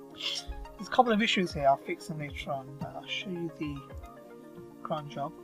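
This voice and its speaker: Mumbled speech at a moderate pace, with music in the background. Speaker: WordPress tutorial maker. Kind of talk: screen-recorded software tutorial. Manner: mumbling.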